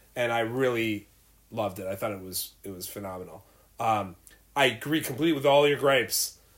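A man with an unremarkable speaking voice talks at a medium pitch and a fairly quick pace, with ordinary pitch variation and big swings in loudness. The recording is very clean with a silent background. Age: 40s. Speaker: podcast co-host, movie enthusiast. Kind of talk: casual chat. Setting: home studio.

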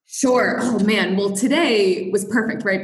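A woman talks in a plain, everyday voice with an American accent. Her pace is fairly quick, with ordinary pitch variation. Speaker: guest, engineer at a toy company. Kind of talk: casual interview. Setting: remote call.

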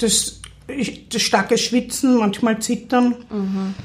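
A woman speaks in a monotone with flat intonation. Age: 30s. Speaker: psychiatric patient. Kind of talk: interview testimony. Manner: halting.

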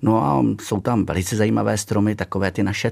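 Vocal fry runs through this man's speech at a moderate pace, in a very clean recording with a silent background. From Czechia, Nymburk area (central Bohemia). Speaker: castle steward, former history teacher. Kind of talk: radio interview. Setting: radio studio.

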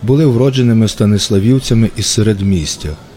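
A man with a medium-pitched voice talks at a moderate pace with ordinary pitch variation over noticeable background noise. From western Ukraine, Ivano-Frankivsk. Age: 40s. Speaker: writer. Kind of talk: scripted narration.

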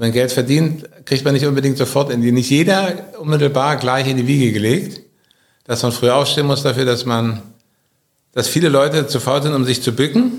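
A man speaks with very even loudness. Audible room echo surrounds his voice. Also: ordinary pitch variation, moderate pace. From Germany, Berlin. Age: 50s. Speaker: business owner. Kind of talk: interview. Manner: halting.

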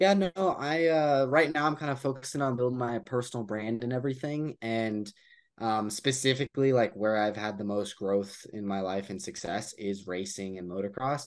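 Over a quiet background, a man with a plain, everyday voice and an American accent talks at a moderate pace with hardly any pauses, in a medium pitch with lively intonation. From Colorado, US. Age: young. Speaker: motocross racer and entrepreneur. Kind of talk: casual interview. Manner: casual, filler-heavy.

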